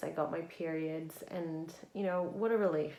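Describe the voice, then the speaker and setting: In audible room echo, a woman with a fairly low pitch speaks at a fairly slow pace. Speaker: spiritual vlogger. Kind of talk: casual vlog monologue. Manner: stuttering at times.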